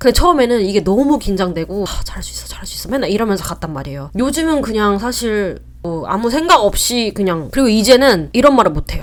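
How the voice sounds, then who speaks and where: At a very fast pace, a woman with medium pitch makes very wide pitch swings. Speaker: vlogger. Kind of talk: casual talk to camera. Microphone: new mic, set up wrong at start.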